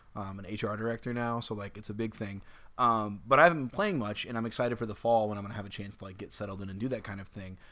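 A man speaks very fast at a fairly low pitch, his bright, sharp tone carrying big swings in loudness over fairly even intonation. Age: 20s. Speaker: video game podcast co-host. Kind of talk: casual chat.

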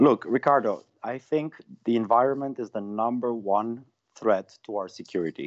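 A man talks with a Romanian accent at medium pitch. His pace is moderate and his pitch varies in an ordinary way. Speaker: member of European Parliament. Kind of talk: interview.

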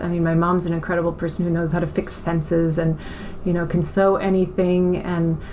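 A woman with an American accent, fairly low in pitch and monotone, flat in intonation, at a moderate pace over music in the background. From mixed: Iran, Germany, US, farm upbringing. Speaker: beauty brand co-founder. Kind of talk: interview. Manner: hesitant, many fillers and repetitions.

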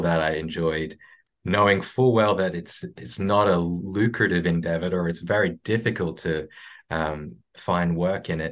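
A man's very deep, low voice with an Australian accent, fairly even in intonation, against a quiet background. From Brisbane, Australia. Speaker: stop motion animator. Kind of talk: casual interview. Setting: video call. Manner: halting.

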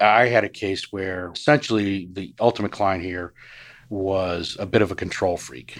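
A man with an ordinary speaking voice talks at a moderate pace, his pitch fairly low. His loudness swings widely, on a very clean recording with a silent background. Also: ordinary pitch variation. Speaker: private investigator. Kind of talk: interview.

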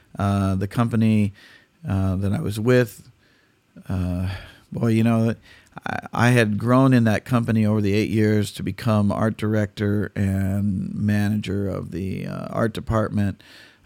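In an American accent, a man with an unremarkable speaking voice talks fairly slowly at a fairly low pitch and fairly even intonation, on a very clean recording with a silent background. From California. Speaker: tribute singer and musician. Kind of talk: casual interview.

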